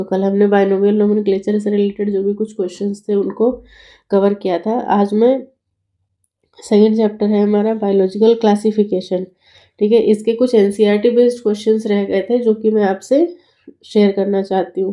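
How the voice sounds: A woman with a dark, mellow tone speaks at a moderate pace with little pitch movement. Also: medium pitch for a woman.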